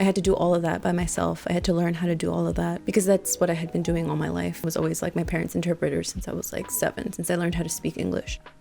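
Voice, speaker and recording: Over noticeable background noise, a woman speaks in an American accent. Her pace is very fast, with hardly any pauses. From Texas, College Station. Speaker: interviewee sharing life story. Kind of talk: personal testimony.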